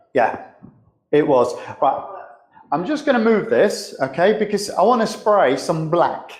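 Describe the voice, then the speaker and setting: Loud and high-pitched, a man speaks at a fairly slow pace with very wide pitch swings, long, frequent pauses and audible room echo. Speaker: spray painter and show host. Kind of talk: live demonstration tutorial. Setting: live streamed workshop demo. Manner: casual, conversational.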